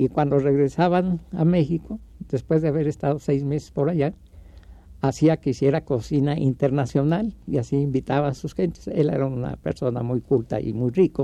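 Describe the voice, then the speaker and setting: Spoken at a moderate pace, this dark, mellow voice shows ordinary variation in pitch. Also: man, fairly high pitch for a man. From Mexico City. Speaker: puppeteer. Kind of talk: interview.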